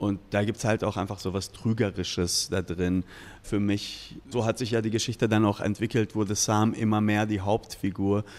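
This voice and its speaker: A man's fairly low voice at a moderate pace, flat and monotone in intonation. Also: very even loudness. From Ruhr area, Germany (Iranian-born). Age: 40s. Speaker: novelist and bar owner. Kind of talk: interview. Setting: in a bar.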